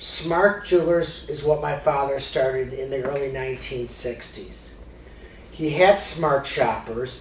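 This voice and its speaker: With an American accent, a man speaks at a fairly slow pace and with ordinary pitch variation, amid audible room echo and noticeable background noise. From Chicago area, US Midwest. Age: 50s. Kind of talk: presentation.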